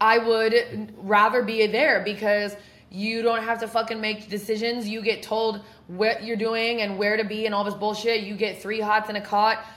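Loud and flat in a monotone, a woman with an American accent speaks at a moderate pace and a fairly high pitch, with audible room echo. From Oregon. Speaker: podcast host, person in addiction recovery. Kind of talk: casual chat. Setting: apartment.

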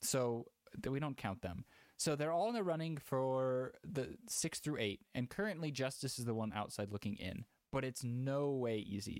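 In a very clean recording with a silent background, a man with an unremarkable speaking voice talks at medium pitch and a moderate pace with lively intonation. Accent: American. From Houston, Texas. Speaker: esports podcast host. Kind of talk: casual chat.

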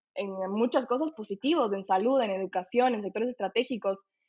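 Here a woman speaks at a fairly quick pace in a fairly high pitch. She has a plain, everyday voice. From Ecuador. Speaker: political science student. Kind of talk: casual panel discussion.

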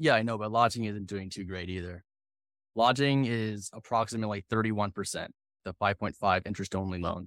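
In a very clean recording with a silent background and dry, close sound without echo, a man of fairly low pitch speaks fairly quickly with fairly even intonation. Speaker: podcast host. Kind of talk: scripted intro and interview.

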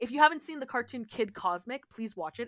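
A woman in a Canadian accent, fairly high-pitched and animated, with very wide pitch swings at a fairly quick pace, on a very clean recording with a silent background and a dry, close sound with no echo. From Ontario, Canada. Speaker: podcast co-host, teacher. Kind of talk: casual chat.

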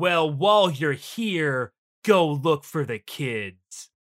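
In a very clean recording with a silent background, a man uses a put-on character voice, fairly high-pitched and very slow. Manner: imitating dub inflection.

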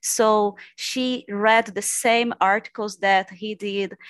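At a very slow pace, the speaker talks in a Portuguese accent with a dry, close sound with no echo over a quiet background. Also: woman. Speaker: PhD candidate in literature. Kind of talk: academic discussion.

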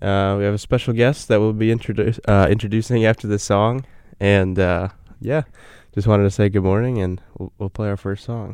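A plain, everyday voice, this man's is fairly low in pitch, with fairly even intonation and a fairly quick pace, on a very clean recording with a silent background. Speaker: college student podcast host. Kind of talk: casual chat. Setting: studio.

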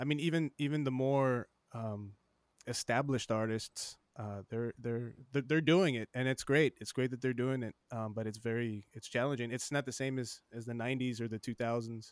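In an American accent, a normal speaking voice moves at a moderate pace with fairly even intonation, the sound dry and close with no echo. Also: man, medium pitch for a man. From South Texas, Laredo. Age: 40s. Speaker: podcast host. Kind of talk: casual interview. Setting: home studio, remote call.

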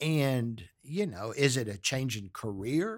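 The man talks very slowly, and the recording is very clean with a silent background. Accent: American. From US South, Galveston, Texas. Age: 60s. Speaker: podcast host's father. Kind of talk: casual chat.

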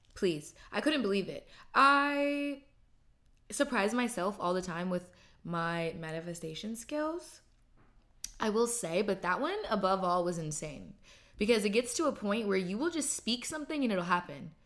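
A woman at medium pitch speaks in an animated tone at a moderate pace, her pitch swinging very wide, in a very clean recording with a silent background. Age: 20s. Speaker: podcast host. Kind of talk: casual monologue.

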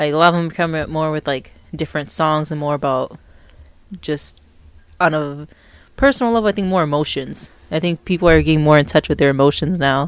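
Quiet, fairly quick speech with fairly even intonation and long, frequent pauses. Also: woman, very deep, low pitch for a woman. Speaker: host's wife.

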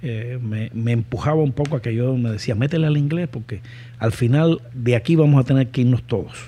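The man's voice is somewhat breathy, with a dark, mellow tone. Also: medium pitch for a man, ordinary pitch variation, fairly quick pace. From Cuba. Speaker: entrepreneur. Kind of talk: interview.

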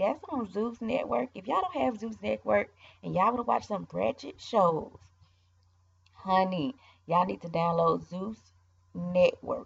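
The speaker has an animated tone and a fairly slow pace. Long, frequent pauses break up the speech. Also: woman. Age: 20s. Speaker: podcast host. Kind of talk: casual monologue.

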